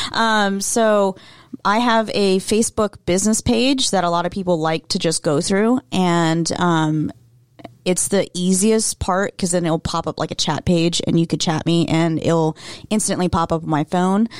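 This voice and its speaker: A woman with an unremarkable speaking voice talks at a fairly slow pace and medium pitch, with ordinary pitch variation and very even loudness. The sound is dry and close with no echo, on a very clean recording with a silent background. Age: 20s. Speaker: insurance agent. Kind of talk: casual interview chat. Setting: radio studio.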